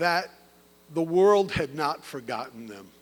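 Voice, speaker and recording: A man speaks at a fairly slow pace in an animated tone, on a very clean recording with a silent background. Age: 60s. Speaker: physician and medical educator giving keynote. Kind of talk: ceremony keynote speech. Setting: opera house stage with audience.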